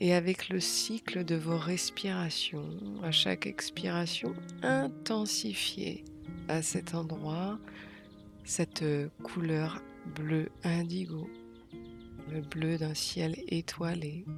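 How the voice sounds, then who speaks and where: Speech comes at a very slow pace with long, frequent pauses. Music plays in the background. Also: woman, very deep, low pitch for a woman. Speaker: meditation guide. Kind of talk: guided meditation. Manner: calm, soft-spoken, slow.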